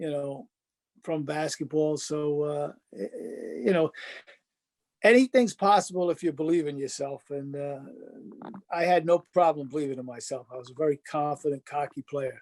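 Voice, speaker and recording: A man with a Rhode Island accent and a fairly high pitch, at a moderate pace with long, frequent pauses, ordinary pitch variation, big swings in loudness, and a dry, close sound with no echo. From Rhode Island, North Providence. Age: 70s. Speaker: former basketball player. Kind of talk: interview.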